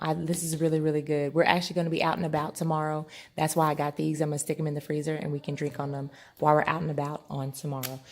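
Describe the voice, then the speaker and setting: A woman speaks quietly and very fast in a very deep, low pitch. Her intonation is monotone and flat, on a very clean recording with a silent background. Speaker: lifestyle vlogger. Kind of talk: haul video. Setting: at home at night. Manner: quiet, hushed.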